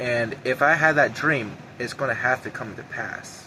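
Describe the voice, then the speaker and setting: At a moderate pace, a man's shaky voice holds fairly even intonation. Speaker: YouTuber sharing prophetic visions. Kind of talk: personal monologue to camera.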